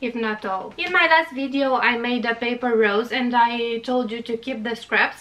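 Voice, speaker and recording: Moderately paced speech in a Romanian accent. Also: woman, high pitch for a woman, ordinary pitch variation. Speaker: craft YouTuber. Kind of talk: tutorial. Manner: halting, frequent uh fillers.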